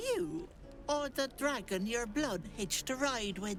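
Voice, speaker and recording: Over clear background music, a put-on character voice with fairly high pitch speaks at a fairly slow pace. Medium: video game.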